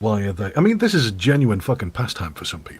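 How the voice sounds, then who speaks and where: There is a somewhat breathy quality to this man's voice. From England. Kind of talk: casual chat.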